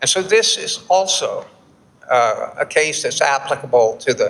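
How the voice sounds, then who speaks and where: A man talks with a Texan accent. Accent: Texan American English. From Texas, Houston. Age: 70s. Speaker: flour milling expert, keynote speaker. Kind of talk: conference keynote presentation. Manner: halting, with repetitions and fillers.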